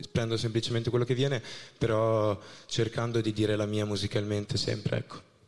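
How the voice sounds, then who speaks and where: A man's fairly low voice, fairly quick and monotone with flat intonation. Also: very even loudness. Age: 20s. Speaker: singer-songwriter contestant. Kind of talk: jury Q&A on stage. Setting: stage with audience. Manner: formal.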